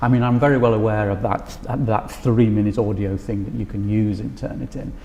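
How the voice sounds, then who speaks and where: Over noticeable background noise, a man with a fairly low pitch speaks at a fairly quick pace with fairly even intonation. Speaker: music lecturer. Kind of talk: interview about teaching practice. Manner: halting with fillers.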